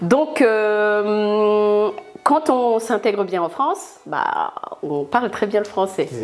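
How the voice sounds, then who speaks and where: Very slow, lively speech from a woman at a fairly high pitch, with music in the background. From Burundi. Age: 30s. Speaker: food entrepreneur. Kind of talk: interview. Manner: hesitant, many fillers.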